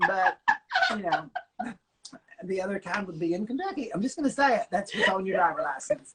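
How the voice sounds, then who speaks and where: An animated, fairly quick delivery broken by long, frequent pauses. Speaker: drag comedian and guest. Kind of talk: casual comic chat. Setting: in person at host's home. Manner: fast.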